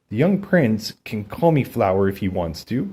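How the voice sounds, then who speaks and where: A man's put-on character voice at a medium pitch, swinging very widely in pitch, at a moderate pace. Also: very clean recording, silent background. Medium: read story.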